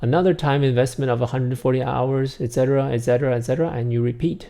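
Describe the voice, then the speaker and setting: Here a man with a Chinese accent speaks at a medium pitch in a dark, mellow tone. The recording is very clean, with a silent background. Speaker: app developer presenting product tutorial. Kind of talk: tutorial. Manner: casual with many filler uhs.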